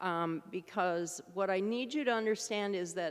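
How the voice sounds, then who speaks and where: In an American accent, the speaker talks at a fairly slow pace with ordinary pitch variation. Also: woman. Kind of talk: lecture. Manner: loud. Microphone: remote mic, echoing.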